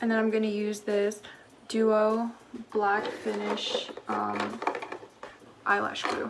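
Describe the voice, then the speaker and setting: A woman's very slow speech with long, frequent pauses, audible room echo and noticeable background noise. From southern Philippines, moved to US at seven. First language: Cebuano. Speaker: beauty vlogger. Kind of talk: casual get-ready-with-me chat. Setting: at home. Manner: chatty, filler-heavy.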